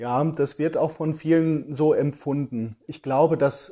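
Against a quiet background, a man with a dark, mellow tone talks at a fairly slow pace with fairly even intonation. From western Germany, Iserlohn. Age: 40s. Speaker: journalist and author. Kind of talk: interview. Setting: remote link.

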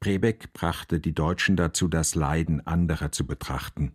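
Very deep and low, this man's voice moves at a fairly slow pace with fairly even intonation. The recording is very clean, with a silent background. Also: dry, close sound with no echo. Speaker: radio journalist and reporter. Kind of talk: scripted narration.

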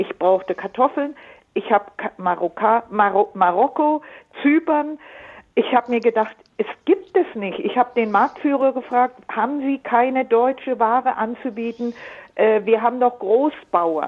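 Her pitch is high, and her intonation is lively. The woman speaks at a fairly slow pace. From Allgäu, Bavaria. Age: 70s. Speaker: caller. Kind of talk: phone-in call. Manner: halting.

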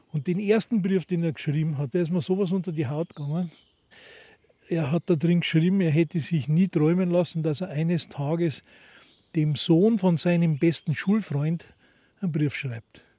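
On a very clean recording with a silent background, a man speaks at a moderate pace in a high pitch with ordinary pitch variation. His tone is dark and mellow, broken by long, frequent pauses. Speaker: volunteer chapel caretaker, reservists' club chairman. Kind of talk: on-site interview. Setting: outdoors at a forest chapel.

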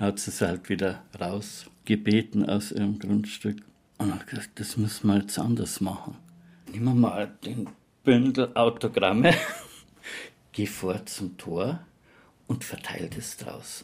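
A man speaks at a very slow pace, with long, frequent pauses. His pitch is fairly low and varies in an ordinary way. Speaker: eyewitness neighbour. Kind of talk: interview testimony.

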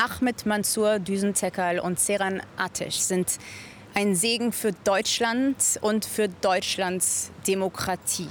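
A woman's medium-pitched voice at a very slow pace with fairly even intonation. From Germany, Munich. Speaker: volunteer for hostage families. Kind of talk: studio interview.

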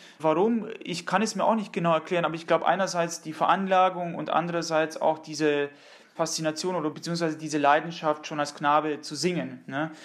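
A man speaks at a fairly quick pace with fairly even intonation and a fairly high pitch. It is an ordinary speaking voice. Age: 30s. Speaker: countertenor singer. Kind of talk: interview.

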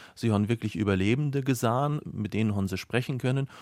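A man with a plain, everyday voice speaks at a fairly low pitch with ordinary pitch variation, in a dry, close sound with no echo on a very clean recording with a silent background. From Bavaria, Mühldorf area. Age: young. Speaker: biology teacher. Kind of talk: radio interview.

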